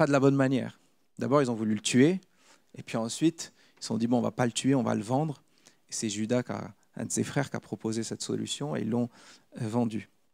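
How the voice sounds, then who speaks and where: A man talks at a medium pitch and a fairly quick pace, with long, frequent pauses. His pitch variation is ordinary, and the sound is dry and close with no echo. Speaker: preacher. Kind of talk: sermon; testimony.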